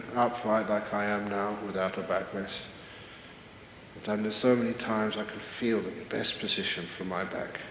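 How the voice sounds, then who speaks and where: Amid noticeable background noise, a man speaks in a calm tone with monotone, flat intonation and a fairly low pitch. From British-Australian. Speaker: Buddhist monk and meditation teacher. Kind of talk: guided meditation. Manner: calm, slow, soft-spoken.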